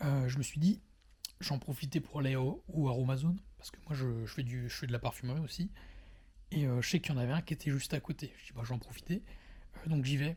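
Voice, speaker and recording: A dark, mellow tone comes through with a somewhat breathy quality. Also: man, fairly high pitch for a man, ordinary pitch variation, fairly quick pace. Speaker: vlogger. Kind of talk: personal monologue. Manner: fast; halting.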